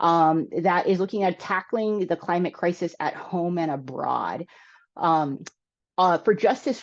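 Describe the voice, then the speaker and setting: A woman speaks at a medium pitch in a normal speaking voice. Her pace is fairly slow, and the background is quiet. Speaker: energy justice presenter. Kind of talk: webinar presentation. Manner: many filler words.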